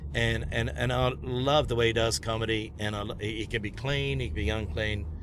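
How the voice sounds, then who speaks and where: Amid noticeable background noise and audible room echo, a man with a fairly low voice speaks with very wide pitch swings. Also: fairly quick pace. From New Zealand. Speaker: stand-up comedian. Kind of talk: casual chat. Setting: in a car.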